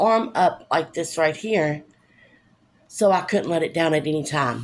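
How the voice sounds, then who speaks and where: A woman speaks with ordinary pitch variation. The recording is very clean, with a silent background. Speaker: vlogger sharing personal story. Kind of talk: personal testimony. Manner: speech difficulty.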